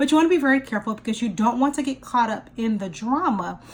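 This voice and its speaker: A woman with a high pitch keeps a moderate speed, her intonation lively. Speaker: life and career strategist. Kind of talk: career coaching talk to camera. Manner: conversational, explanatory, with filler words.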